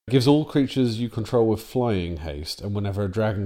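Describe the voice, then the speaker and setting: A man speaks at a fairly quick pace in a dark, mellow tone. His pitch varies in an ordinary way. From England. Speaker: podcast co-host. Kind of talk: casual banter about card game.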